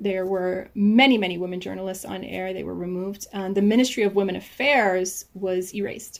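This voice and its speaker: A woman with an American accent speaks at a medium pitch in an unremarkable speaking voice. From United States. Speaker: novelist. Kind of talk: interview.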